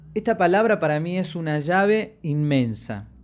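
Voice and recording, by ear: A man speaks at a fairly high pitch. His pitch swings widely. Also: moderate pace, very clean recording, silent background.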